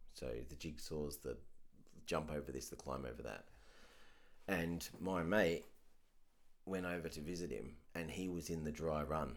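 At a moderate pace, a man with a very deep, low pitch and vocal fry talks with ordinary pitch variation and long, frequent pauses. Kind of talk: casual chat.

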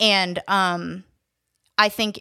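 A woman's medium-pitched voice in a flat monotone, bright and sharp in tone, dry and close with no echo, in a very clean recording with a silent background. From upstate New York (Syracuse), moved to Atlanta at 14. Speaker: recovering addict sharing her story. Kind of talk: testimony.

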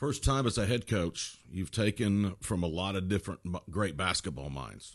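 A man's very deep, low voice with vocal fry and lively intonation, at a moderate pace against a quiet background. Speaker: sports podcast host. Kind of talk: scripted intro; podcast interview.

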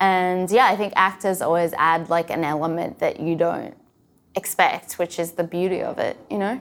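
The voice carries an Australian accent with fairly even intonation. The recording is very clean with a silent background. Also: woman, medium pitch for a woman, moderate pace. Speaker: sketch comedy writer and performer. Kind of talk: casual interview chat. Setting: rehearsal studio.

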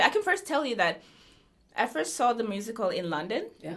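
Moderate pacing from a woman with a fairly high voice. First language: Norwegian (speaking Finnish). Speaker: musical actress and singer. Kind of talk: interview.

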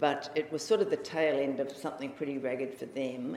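With a New Zealand accent, a woman talks at a very deep, low pitch. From New Zealand (Auckland). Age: 60s. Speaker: Zen practitioner and writer. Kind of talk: dharma talk. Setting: meditation hall with audience. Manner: informal, chatty.

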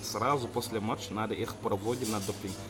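Noticeable background noise surrounds a man speaking at a moderate pace. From Senegal. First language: not Russian; speaks it as a second language (speaking Russian). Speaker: sports volunteer. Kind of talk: interview. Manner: halting, with pauses and self-corrections.

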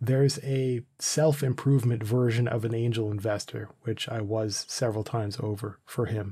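A man speaks at a moderate pace and medium pitch with hardly any pauses. His voice is dark, mellow and somewhat breathy, on a very clean recording with a silent background. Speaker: podcast host. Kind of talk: casual banter, comedic intro. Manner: animated, joking.

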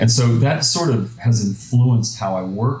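A man speaks at a moderate pace with a medium pitch. Noticeable background noise and audible room echo fill the recording. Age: 50s. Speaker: software company president, entrepreneur. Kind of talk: interview.

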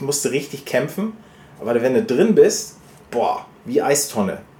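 Speaking at a fairly high pitch, a man swings his pitch very widely. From northern Germany (Stade, Lower Saxony). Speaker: podcast co-host. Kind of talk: casual chat.

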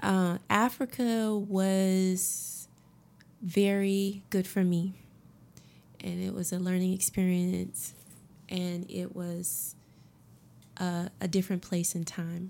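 A dark, mellow voice with an American accent speaks at a very slow pace in a monotone, flat intonation, with long, frequent pauses. The recording is very clean, with a silent background. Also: woman, medium pitch for a woman. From Augusta, Georgia, US South. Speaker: massage therapist. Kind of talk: interview chat. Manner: calm, relaxed.

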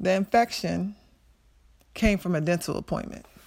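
A medium-pitched woman with an American accent at a moderate pace, in a very clean recording with a silent background. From Maryland, US. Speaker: former college basketball player, heart surgery survivor. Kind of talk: personal testimony.

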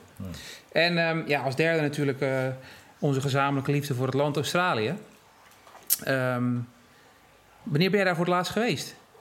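There is audible room echo as a man with a fairly high pitch talks at a moderate pace, using ordinary pitch variation and long, frequent pauses. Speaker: podcast host. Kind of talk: interview. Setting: in person.

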